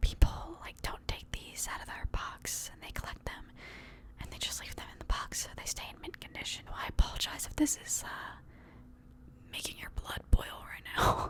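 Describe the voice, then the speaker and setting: Whispering at a moderate pace over noticeable background noise, a woman's voice swings a lot in loudness. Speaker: ASMR content creator. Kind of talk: ASMR, casual talk to camera. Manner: soft-spoken, whispered.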